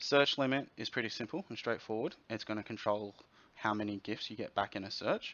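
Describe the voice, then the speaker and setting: Speaking in an Australian accent, a man moves at a fairly quick pace with a fairly low pitch and ordinary pitch variation. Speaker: software developer. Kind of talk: tutorial.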